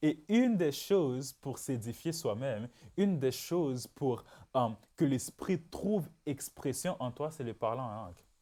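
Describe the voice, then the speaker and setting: A man with a Haitian accent, a dark, mellow tone, lively intonation and a very slow pace, on a very clean recording with a silent background. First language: Haitian Creole (speaking French). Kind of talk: religious teaching podcast. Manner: repetitive, emphatic.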